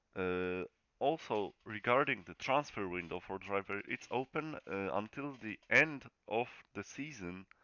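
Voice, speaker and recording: The speaker talks at a fairly slow pace. The accent is Polish. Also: man. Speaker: sim racing league host. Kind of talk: channel update announcement. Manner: casual, halting.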